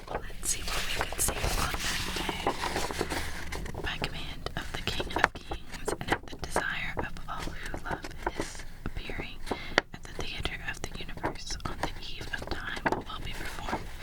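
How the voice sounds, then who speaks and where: Noticeable background noise fills the recording. A woman whispers through it at a fairly slow pace. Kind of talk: ASMR roleplay reading old papers aloud. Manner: soft-spoken, whispering.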